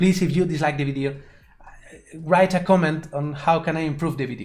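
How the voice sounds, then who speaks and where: Speaking very fast, a man uses a Spanish accent and a fairly high pitch. Room echo is audible. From Spain. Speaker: 3D animation tutor and streamer. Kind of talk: live stream tutorial. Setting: live stream. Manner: halting, with repetitions.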